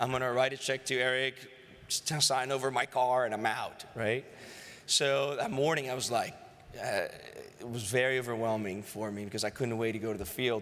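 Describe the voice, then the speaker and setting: A man with a Greek accent talks at a medium pitch and a moderate pace. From Greece. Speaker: sales executive. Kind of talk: acceptance speech. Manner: animated.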